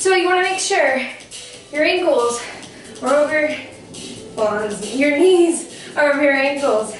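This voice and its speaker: In a room with audible echo and faint background music, a high-pitched woman speaks at a fairly slow pace with ordinary pitch variation. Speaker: fitness instructor. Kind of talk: workout instruction. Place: home room.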